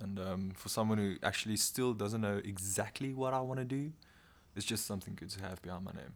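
A man with a South African accent at a fairly quick pace, in a very clean recording over a silent background. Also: ordinary pitch variation. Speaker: law student, podcast host. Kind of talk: casual chat.

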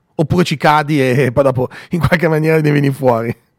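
The sound is dry and close with no echo as a man talks at a fairly quick pace in a fairly high pitch with a plain, everyday voice. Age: 40s. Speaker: radio host. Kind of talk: morning radio show.

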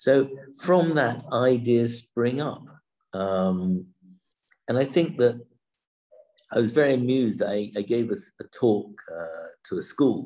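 A man with a southern English accent, dark and mellow in tone, speaking at a very slow pace with lively intonation and long, frequent pauses. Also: medium pitch for a man. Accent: British, general southern English. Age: 60s. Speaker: businessman and winery co-founder. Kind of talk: casual interview.

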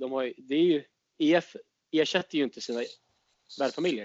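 A man with a fairly high voice talks at a fairly quick pace, with ordinary pitch variation. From Sweden, Stockholm. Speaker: exchange student. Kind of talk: casual chat.

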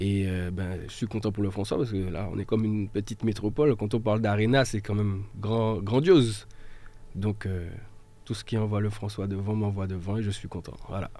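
This man has a dark, mellow tone and fairly low pitch, speaking fairly quickly with fairly even intonation but long, frequent pauses. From mainland France, after early childhood in Martinique. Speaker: volunteer firefighter and local political activist. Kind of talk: radio panel discussion.

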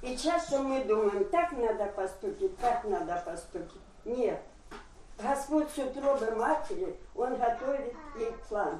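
A woman's high-pitched voice at a very slow pace, with very wide pitch swings, audible room echo and noticeable background noise. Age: old. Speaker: church member. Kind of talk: testimony.

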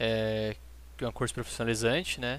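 The background is silent in a very clean recording. The speaker is a man. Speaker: home cook, recent graduate. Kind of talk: cooking tutorial.

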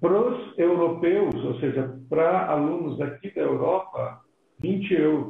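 A man speaks at a fairly high pitch. Audible room echo surrounds his voice. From Brazil, Belo Horizonte. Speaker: pastor and missionary. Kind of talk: interview in a live stream.

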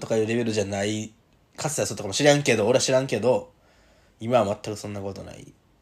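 Over a silent background in a very clean recording, a man at medium pitch talks very fast. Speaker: podcast host, rugby player. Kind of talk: casual chat. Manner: animated, laughing often.

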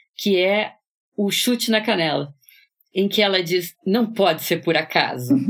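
A woman with a plain, everyday voice speaks at a fairly slow pace with ordinary pitch variation on a very clean recording with a silent background. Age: 60s. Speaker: psychoanalyst, podcast co-host. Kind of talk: casual literary discussion.

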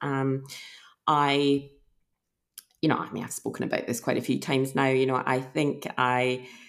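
Speaking at a moderate pace with long, frequent pauses, a woman with a Scottish accent has a very deep, low pitch and monotone, flat intonation. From Scotland. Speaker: emergency physician. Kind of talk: interview.

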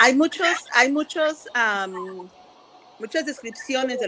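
This woman's pitch varies in an ordinary way as she talks fairly slowly in an unremarkable speaking voice. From Mexico. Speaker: community health worker. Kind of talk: interview conversation. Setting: video call.

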